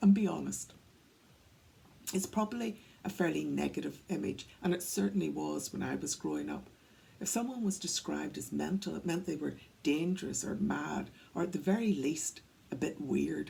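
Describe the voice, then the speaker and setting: The woman's pauses are long and frequent. Between them, she moves at a moderate pace. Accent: Northern Irish. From Northern Ireland, County Antrim. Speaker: workplace wellbeing speaker. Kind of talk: talk to camera, storytelling. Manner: conversational.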